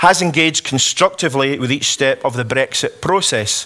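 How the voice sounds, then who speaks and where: Noticeable noise runs behind a man speaking with a Scottish accent. His fairly high voice has lively intonation. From Scotland. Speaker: politician. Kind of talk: conference speech. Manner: hesitant fillers.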